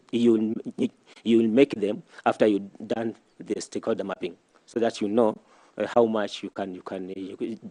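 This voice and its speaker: The speaker has a Kenyan coastal accent and a dark, mellow tone, talking at a moderate pace with fairly even intonation and long, frequent pauses. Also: man, fairly low pitch for a man. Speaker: nominee being vetted, statistician. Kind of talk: vetting interview answers. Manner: halting, repetitive.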